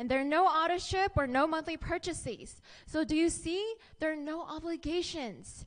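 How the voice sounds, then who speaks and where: A woman speaks with an upbeat, enthusiastic tone at a high pitch. Her pace is moderate and her pitch varies in an ordinary way. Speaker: network marketing presenter. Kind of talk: pitchman presentation. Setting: stage with audience. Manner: upbeat, enthusiastic, engaging the audience with questions. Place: hall. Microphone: handheld.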